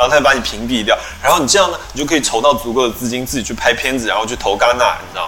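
A man with a medium-pitched voice and ordinary pitch variation talks at a very fast pace, with audible room echo and noticeable background noise. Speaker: podcast host. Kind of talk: casual chat.

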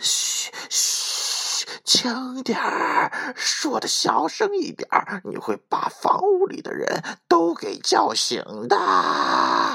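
Slow and in a put-on character voice, the speaker sounds bright and sharp, with a slightly husky edge, vocal fry and very wide pitch swings. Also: few pauses.

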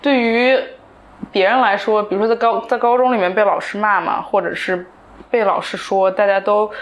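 At a moderate pace, a woman talks in a fairly high pitch with fairly even intonation, a plain, everyday voice. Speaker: entrepreneur. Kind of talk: casual chat. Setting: small recording studio.

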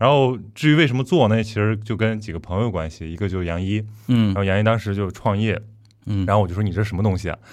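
Pace here is very fast. A man talks at a fairly low pitch with ordinary pitch variation. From Qingdao, Shandong. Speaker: podcast host. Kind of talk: casual chat. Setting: studio.

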